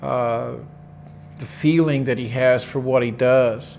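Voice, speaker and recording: Room echo is audible as a man speaks very slowly at a medium pitch with ordinary pitch variation. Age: 60s. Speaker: qigong teacher. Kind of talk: interview conversation. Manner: halting, many repetitions.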